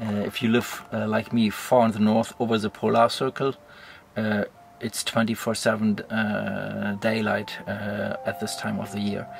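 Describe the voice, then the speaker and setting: A man speaks very slowly at a fairly low pitch in a monotone, flat intonation. Music plays in the background, and the sound is dry with no echo. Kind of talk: casual vlog chat. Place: tent. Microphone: phone near.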